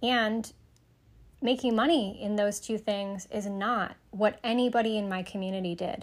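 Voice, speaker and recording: In a very clean recording with a silent background, a woman with an American accent uses a normal speaking voice at a fairly high pitch, with fairly even intonation and a moderate pace. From US Midwest, Michigan (Sterling Heights). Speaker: psychic medium and podcast host. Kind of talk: solo podcast monologue.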